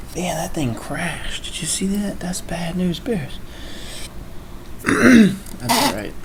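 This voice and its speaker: The speaker uses lively intonation at a very slow pace, with long, frequent pauses. Audible room echo and noticeable background noise come through. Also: man, high pitch for a man. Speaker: live streamer. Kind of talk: casual chat. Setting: live stream.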